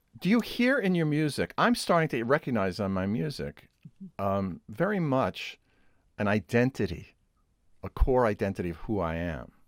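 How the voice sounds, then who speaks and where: A man at medium pitch talks at a moderate pace with a Brooklyn accent, his pitch swinging very widely. The recording is very clean and dry, close with no echo, and the background is silent. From New York City, Brooklyn. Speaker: interview host, composer. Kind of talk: interview conversation.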